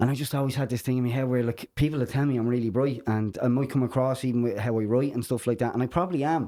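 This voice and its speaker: A man with an Irish accent talks at a very fast pace in a dark, mellow tone, his intonation fairly even. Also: medium pitch for a man, hardly any pauses, very even loudness. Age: 30s. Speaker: podcast host. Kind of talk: casual podcast chat.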